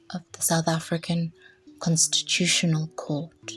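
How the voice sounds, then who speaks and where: The pace is fairly slow. Behind the voice, music plays. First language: not English. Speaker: English teacher. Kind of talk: educational narration.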